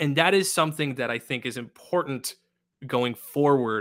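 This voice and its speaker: He has an unremarkable speaking voice. His pitch sits in the medium range, and his pace is moderate, this man. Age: 20s. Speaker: conservation podcast host. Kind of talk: casual chat.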